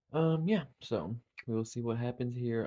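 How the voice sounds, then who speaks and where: Someone speaks with an Appalachian accent and ordinary pitch variation. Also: man. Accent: Appalachian US Southern. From Eastern Kentucky. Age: 30s. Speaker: reality game contestant. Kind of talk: casual confessional intro. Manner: halting, many fillers.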